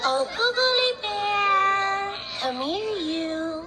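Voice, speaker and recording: A squeaky, female-sounding cartoonish character voice at an extremely high pitch, over loud background noise. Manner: flirty.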